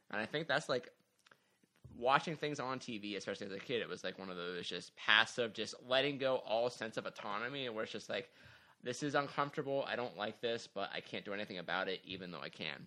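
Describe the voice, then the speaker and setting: A man at a medium pitch speaks at a fairly quick pace with a bright, sharp tone and ordinary pitch variation. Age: 20s. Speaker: podcast co-host, adult student. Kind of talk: casual chat.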